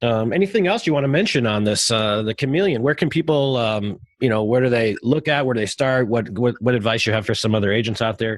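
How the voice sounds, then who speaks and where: In an American accent, the speech comes at a very fast pace with very even loudness and ordinary pitch variation, on a very clean recording with a silent background. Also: man, medium pitch for a man. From Chicago, US Midwest. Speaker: podcast host. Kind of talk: casual interview.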